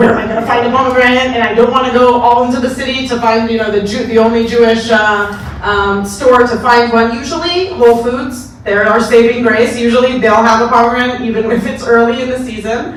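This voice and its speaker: A woman with a fairly high pitch talks at a fairly quick pace, with hardly any pauses and fairly even intonation. Noticeable background noise and audible room echo fill the recording. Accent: Israeli. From Israel. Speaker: moderator. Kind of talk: moderated talk before audience.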